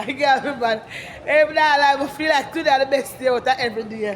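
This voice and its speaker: With a Jamaican accent, a woman speaks fairly quickly but with long, frequent pauses, her high-pitched voice fairly even in intonation over noticeable background noise. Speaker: vlogger. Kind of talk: casual vlog walkabout. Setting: outdoors.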